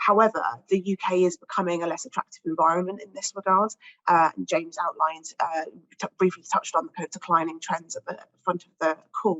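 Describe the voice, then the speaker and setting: A woman's very fast speech in a British accent, medium in pitch with ordinary variation and big swings in loudness. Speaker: pharmaceutical industry research director. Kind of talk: panel discussion statement.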